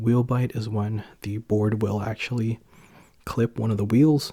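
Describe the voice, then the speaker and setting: A soft-spoken man talks at a moderate pace and medium pitch, his tone dark and mellow and his intonation monotone and flat. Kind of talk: ASMR soft-spoken ramble to camera. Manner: soft-spoken, chatty.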